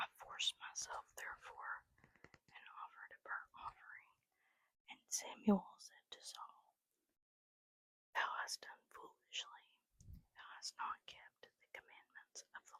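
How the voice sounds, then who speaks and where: Someone is whispering. The pace is very slow. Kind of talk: whispered Bible reading, ASMR. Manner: whispered.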